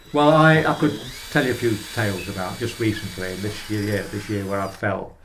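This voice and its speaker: A man with a fairly low voice speaks at a moderate pace with lively intonation. There is audible room echo. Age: 80s+. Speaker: older person receiving home care service. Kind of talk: documentary interview. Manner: halting.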